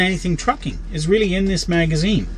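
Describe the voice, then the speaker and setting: Light background noise is present. A man speaks with ordinary pitch variation. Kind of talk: casual vlog chat. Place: car. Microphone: phone near.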